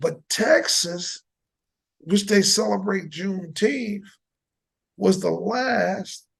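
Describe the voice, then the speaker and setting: In an American accent, a man with a high pitch speaks at a very slow pace. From New Jersey. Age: 60s. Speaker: podcast host and football coach. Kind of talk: casual debate. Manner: animated.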